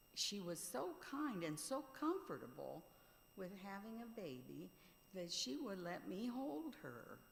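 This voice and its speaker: A woman at a very slow pace, with very wide pitch swings, long, frequent pauses and audible room echo. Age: 70s. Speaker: mourner sharing memories. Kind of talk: eulogy remarks.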